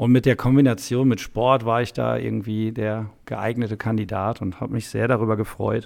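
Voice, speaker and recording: The speech moves at a moderate pace with hardly any pauses, in a monotone, flat intonation. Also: man, medium pitch for a man. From Westphalia, Germany (Soest). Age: 30s. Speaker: vocational school teacher. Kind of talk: casual interview. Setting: on location at a training course.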